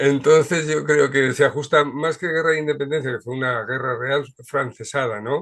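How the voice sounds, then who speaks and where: A man with a plain, everyday voice, fairly high pitch, fairly even intonation and a moderate pace. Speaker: show host. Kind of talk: video call discussion.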